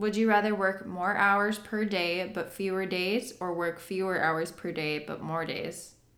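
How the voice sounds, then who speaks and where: A woman's medium-pitched voice, fairly slow and fairly even in intonation, with hardly any pauses. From US Upper Midwest, North Dakota. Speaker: podcast host. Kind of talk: casual chat.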